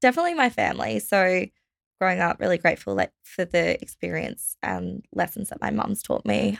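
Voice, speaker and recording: The speaker has an Australian accent. The sound is dry and close, with no echo. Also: woman. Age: 20s. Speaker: budgeting company staff member. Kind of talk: interview.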